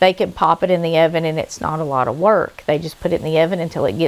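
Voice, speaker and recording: The speaker has a normal speaking voice, and the intonation stays fairly even. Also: woman. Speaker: home cooking channel host. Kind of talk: cooking tutorial. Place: kitchen.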